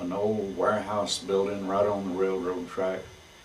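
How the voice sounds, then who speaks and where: Amid noticeable background noise and audible room echo, a man with an American accent talks at a fairly slow pace. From Texas, Fort Worth area. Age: 70s. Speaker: saddle maker. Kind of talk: oral history recollection. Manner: halting, with many fillers.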